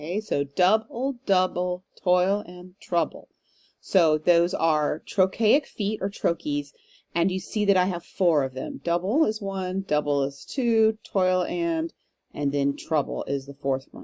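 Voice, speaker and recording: Recorded very cleanly against a silent background, a woman with an American accent talks at medium pitch and a fairly slow pace. Her tone is dark and mellow, and her intonation is lively. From Texas. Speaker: professor. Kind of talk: lecture. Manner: hesitant, with frequent um fillers.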